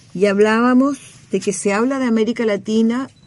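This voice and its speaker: The speaker has an ordinary speaking voice. Intonation stays fairly even. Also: woman. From Chile. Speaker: former government minister and academic. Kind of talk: radio interview.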